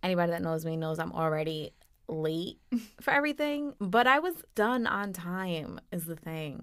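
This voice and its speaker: A woman with a fairly low pitch speaks at a moderate pace, her pitch swinging very widely. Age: 20s. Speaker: podcast host, mother. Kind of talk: casual chat.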